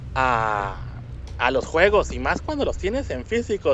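A man talks at a moderate pace. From Mexico, Monterrey. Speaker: video game podcast guest. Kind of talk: casual chat.

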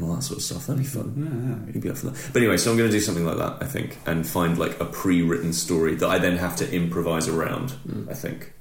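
A man with a British accent speaks in a very deep, low pitch, his voice making very wide pitch swings. Noticeable background noise sits under the recording. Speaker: podcast co-host. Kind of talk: casual chat.

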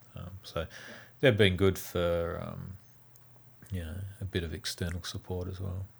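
A man with an Australian accent, very deep and low in pitch, somewhat breathy, at a fairly slow pace with long, frequent pauses. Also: big swings in loudness. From Tasmania. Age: 40s. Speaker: game developer. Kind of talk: interview.

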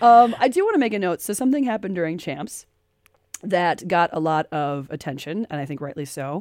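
A woman's fairly low voice with very wide pitch swings, a fairly quick pace and an American accent, on a very clean recording with a silent background. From United States. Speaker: podcast host. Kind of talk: casual chat. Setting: radio studio.

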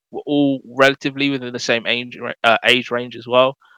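A man with a London accent speaks at a moderate pace in a bright, sharp tone. The sound is dry and close with no echo, over a quiet background. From London, England. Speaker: video game community manager. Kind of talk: casual interview chat.

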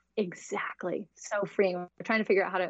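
A woman with an American accent has a plain, everyday voice, speaking at a moderate pace in a medium pitch. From US, Idaho. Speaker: money mindset coach and entrepreneur. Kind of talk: interview.

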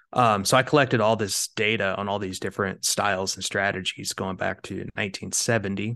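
A man with an American accent, fairly low in pitch, fairly even in intonation, at a fairly quick pace against a quiet background. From Kansas, US Midwest. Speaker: fund manager, investment officer. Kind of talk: interview.

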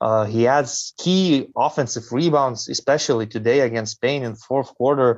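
The sound is dry and close with no echo, over a quiet background. A man talks in a medium pitch with ordinary pitch variation. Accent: Lithuanian. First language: Lithuanian. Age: young. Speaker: basketball commentator. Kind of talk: casual chat. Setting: video call. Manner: slow.

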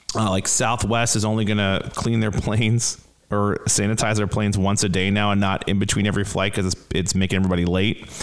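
Over noticeable background noise, a man with an American accent speaks in an animated tone at a very fast pace, his pitch fairly low. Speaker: comedian podcast host, adult son. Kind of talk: casual chat with parents. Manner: animated, joking.

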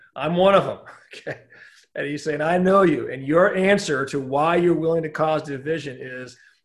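Audible room echo surrounds a speaker with an American accent who talks at a moderate pace with ordinary pitch variation. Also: man. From Southern California. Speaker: pastor. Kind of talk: casual interview about church history. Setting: video call.

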